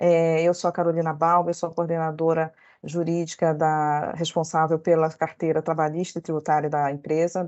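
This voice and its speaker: Speaking at a moderate pace, a woman with a northern Brazilian accent has a fairly low-pitched voice. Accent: northern Brazilian (Belém). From northern Brazil, Belém (Pará). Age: 40s. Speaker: lawyer. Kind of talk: workshop talk. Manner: halting, many fillers.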